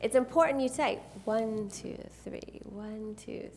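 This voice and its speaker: Fairly high pitch from a woman, with ordinary variation in her pitch. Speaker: photographer and workshop presenter. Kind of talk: live seminar presentation with demonstration. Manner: animated.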